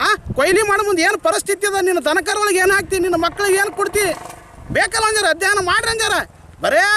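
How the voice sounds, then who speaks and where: A man with a north Karnataka accent speaks in a raised, projected voice at an extremely high pitch with ordinary pitch variation. Noticeable background noise is present. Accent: north Karnataka rural Kannada dialect. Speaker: farmer. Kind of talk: interview complaint to reporters. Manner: animated.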